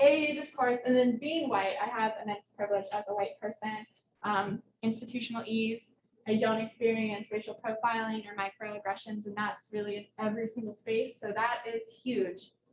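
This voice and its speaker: A somewhat breathy woman with a slight southern Ohio accent speaks in a fairly high pitch with fairly even intonation. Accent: slight southern Ohio twang. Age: 20s. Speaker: researcher. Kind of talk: lecture. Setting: hybrid presentation with microphone. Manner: fast, words run together; casual, filler-heavy.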